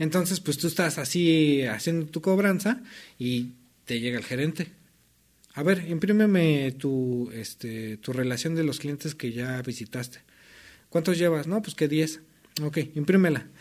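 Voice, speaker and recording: A normal speaking voice with lively intonation at a fairly slow pace, on a very clean recording with a silent background. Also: man, fairly high pitch for a man. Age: 30s. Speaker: former debt collector, racing driver. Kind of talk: casual interview chat.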